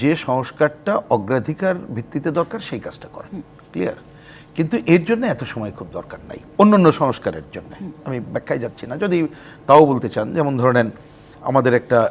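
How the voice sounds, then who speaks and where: A man talks with very wide pitch swings and big swings in loudness. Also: fairly high pitch for a man. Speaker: left-wing party politician. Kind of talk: talk show interview.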